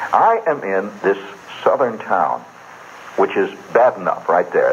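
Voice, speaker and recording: A man's voice over noticeable background noise. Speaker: radio storyteller. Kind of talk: live radio monologue. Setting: radio studio. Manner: casual, conversational.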